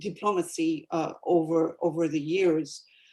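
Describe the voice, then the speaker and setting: A woman with a French accent and fairly even intonation. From France and French-speaking Africa. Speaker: etiquette professor. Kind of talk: panel talk. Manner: halting.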